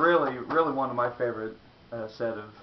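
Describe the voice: In a room with audible echo, a man speaks at a medium pitch and a fairly quick pace with ordinary pitch variation.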